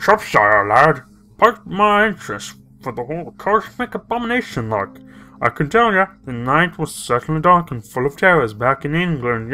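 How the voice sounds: A put-on character voice at a moderate pace, very wide pitch swings and faint music in the background. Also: man, fairly high pitch for a man.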